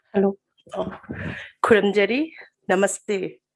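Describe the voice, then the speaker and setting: Recorded very cleanly against a silent background, a woman speaks with a Manipur accent and fairly even intonation. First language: Manipuri. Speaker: poet. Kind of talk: poetry reading. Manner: formal.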